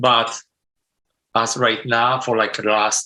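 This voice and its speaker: In a Polish accent, a man speaks at a medium pitch with a bright, sharp tone and a monotone, flat intonation. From Poland. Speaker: sound designer. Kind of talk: interview. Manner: non-native, broken grammar.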